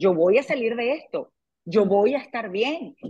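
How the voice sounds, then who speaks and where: This woman has an ordinary speaking voice with a fairly high pitch. Her intonation is lively. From Venezuela. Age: 40s. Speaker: TV presenter and author. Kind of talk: interview. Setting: video call.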